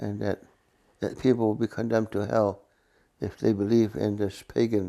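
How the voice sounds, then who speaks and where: A man with a fairly low pitch and a dark, mellow tone speaks at a moderate pace with fairly even intonation. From Mohawk community, northeastern North America. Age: 80s+. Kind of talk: casual conversation.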